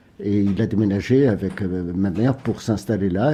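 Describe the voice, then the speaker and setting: At a very slow pace, a man speaks with a fairly low pitch. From Tunisia. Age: 60s. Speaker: book publisher. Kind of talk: radio interview. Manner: hesitant, many filler sounds.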